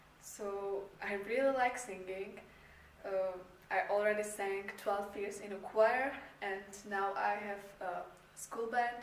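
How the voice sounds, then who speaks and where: Over noticeable background noise and audible room echo, a woman talks at a very slow pace with fairly even intonation. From Czech Republic. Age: 18. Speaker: university applicant, student performer. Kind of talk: application video self-introduction. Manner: hesitant, many fillers.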